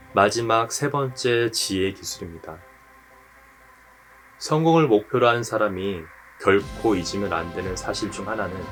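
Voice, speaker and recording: A man speaks fairly slowly in a calm, soothing tone, fairly low in pitch with ordinary pitch variation. Music plays in the background, and he leaves long, frequent pauses. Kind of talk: sleep-aid reading.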